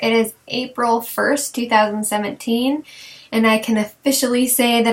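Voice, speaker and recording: A woman's fairly high voice, fairly slow and monotone with flat intonation, over noticeable background noise. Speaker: mother of three boys. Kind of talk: casual talk to camera. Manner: hesitant, conversational.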